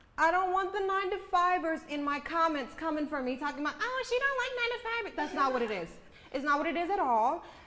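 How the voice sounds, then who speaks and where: A woman with an extremely high pitch speaks in a raised, projected voice at a very fast pace, animated in tone with very wide pitch swings, and audible room echo around her. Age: 20s. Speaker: podcast co-host. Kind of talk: casual chat.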